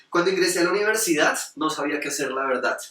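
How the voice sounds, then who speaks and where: A man speaks at a very fast pace with a Bogotá accent. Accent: Bogotá Colombian Spanish. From Colombia, Bogotá. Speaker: storyteller, entrepreneur. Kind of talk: storytelling performance. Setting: stage with audience. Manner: animated.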